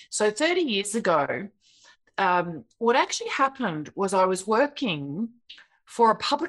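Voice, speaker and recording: With an Australian accent, a woman speaks with very wide pitch swings. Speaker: software creator and speaker. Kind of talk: interview conversation. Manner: kind, gentle.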